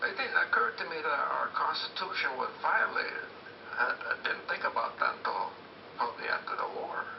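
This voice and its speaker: With noticeable background noise, a man speaks at a moderate pace in an American accent. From US Pacific Northwest, Portland, Oregon. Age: 80s+. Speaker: war veteran. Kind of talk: interview testimony. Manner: halting, with repetitions.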